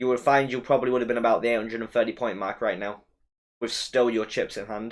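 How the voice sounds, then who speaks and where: Speech comes very fast from this man. It stays monotone and flat in intonation throughout. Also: medium pitch for a man. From West Midlands, England. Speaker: fantasy football streamer. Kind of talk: live stream chat with viewers. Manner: casual, conversational.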